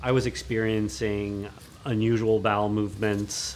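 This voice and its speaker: A man talks at a fairly slow pace in an unremarkable speaking voice. His pitch is fairly low, with ordinary pitch variation. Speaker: architect and cancer patient. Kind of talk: documentary interview testimony.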